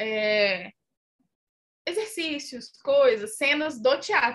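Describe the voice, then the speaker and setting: A woman's raised, projected voice, high-pitched, with a bright, sharp tone. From Minas Gerais, Brazil. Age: 20s. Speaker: actress and content creator. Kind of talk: casual chat.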